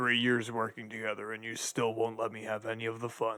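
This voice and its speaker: A man puts on a character voice at a medium pitch. He speaks at a fairly quick pace with monotone, flat intonation. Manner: sarcastic, laid-back.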